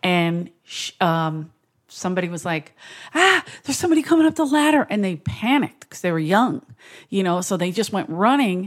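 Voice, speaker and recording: In a very clean recording over a silent background, a woman sounds animated, her pitch swinging very widely and her loudness rising and falling sharply. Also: medium pitch for a woman, fairly quick pace. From Philadelphia. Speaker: comedian. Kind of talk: casual chat.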